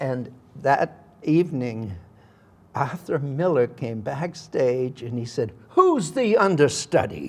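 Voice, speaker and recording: Here a man with a Massachusetts accent speaks very slowly. His intonation is lively. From Massachusetts, Worcester. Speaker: actor. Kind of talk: interview storytelling.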